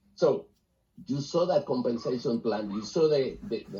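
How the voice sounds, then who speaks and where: A man talks at a moderate pace in a medium pitch. His voice is somewhat breathy. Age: 60s. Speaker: business opportunity presenter. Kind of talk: sales pitch.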